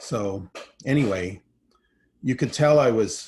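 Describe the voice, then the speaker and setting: A man with a Manitoba accent talks with ordinary pitch variation. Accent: Canadian (Manitoba) English. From Canada, Winnipeg. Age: 60s. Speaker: filmmaker. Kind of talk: keynote talk. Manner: halting.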